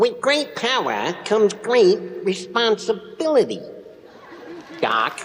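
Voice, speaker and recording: A man puts on a character voice at an extremely high pitch. He goes at a fairly slow pace with long, frequent pauses. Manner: comic, lisping wabbit-style speech.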